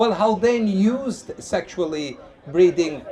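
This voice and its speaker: Loud, a man speaks with very wide pitch swings. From Lebanon. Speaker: street evangelist. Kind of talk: street debate with audience. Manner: animated.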